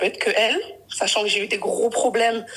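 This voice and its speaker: At a fairly quick pace and fairly high pitch, a woman speaks against noticeable background noise. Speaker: caller on a live stream. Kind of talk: personal testimony on a live call. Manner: halting, with many self-corrections.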